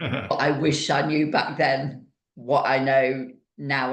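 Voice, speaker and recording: A woman with a British accent speaks in a very deep, low pitch and fairly even intonation, with audible room echo. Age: 50s. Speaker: fitness coach and podcast host. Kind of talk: interview.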